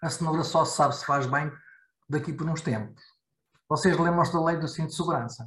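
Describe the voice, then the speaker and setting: A man speaks with fairly even intonation. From Portugal. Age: 50s. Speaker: IT security expert. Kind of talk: casual discussion. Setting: video call.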